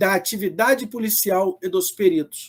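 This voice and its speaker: A man speaks at a very slow pace. His high-pitched voice carries lively intonation. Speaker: public defender and law professor. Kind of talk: lecture.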